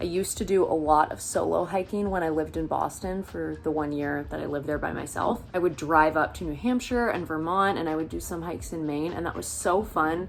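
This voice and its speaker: A woman with an American accent, very deep and low in pitch, with hardly any pauses and music in the background. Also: ordinary pitch variation, fairly quick pace. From US Pacific Northwest (Seattle area). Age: 20s. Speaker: vlogger. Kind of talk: casual vlog talk. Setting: indoors getting ready, bedroom. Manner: casual, chatty.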